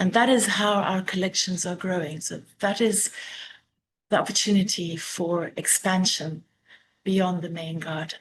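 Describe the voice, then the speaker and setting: Speaking fairly slowly at a medium pitch, a woman with a South African accent sounds somewhat breathy. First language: Afrikaans. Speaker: master gardener. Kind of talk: illustrated talk. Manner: hesitant, with fillers.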